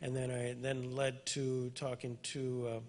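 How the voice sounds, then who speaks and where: A man talks at a medium pitch, his voice somewhat breathy. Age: 60s. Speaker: interviewer, attorney. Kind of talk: event introduction to audience.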